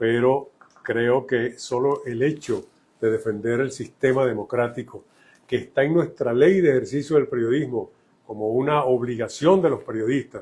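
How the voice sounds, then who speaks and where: A man talks at a moderate pace with a medium pitch. His voice is somewhat breathy and his intonation fairly even. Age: 80s+. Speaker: journalist, press association president. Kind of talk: interview.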